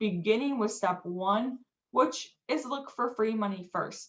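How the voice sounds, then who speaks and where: A woman talks in an ordinary speaking voice. Her pitch is medium, with ordinary variation. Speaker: financial aid presenter. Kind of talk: webinar presentation.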